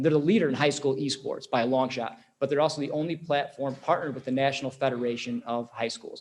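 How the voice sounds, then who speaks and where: The pitch of this man's voice varies in an ordinary way. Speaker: esports program presenter. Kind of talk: presentation. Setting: school board meeting. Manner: fast; animated.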